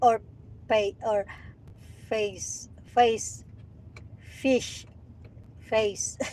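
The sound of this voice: A woman speaks with a Visayan accent. Her pitch is fairly high. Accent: Bisaya Filipino accent in English.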